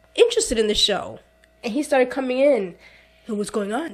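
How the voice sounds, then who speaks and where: A woman's animated, raised and projected voice, high in pitch with very wide pitch swings, over music in the background. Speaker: podcast co-host. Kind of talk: casual chat.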